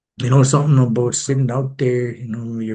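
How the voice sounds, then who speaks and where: Somewhat breathy and dark, mellow in tone, a man speaks with a medium pitch and fairly even intonation. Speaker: recovery speaker. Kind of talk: testimony. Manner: halting, many restarts.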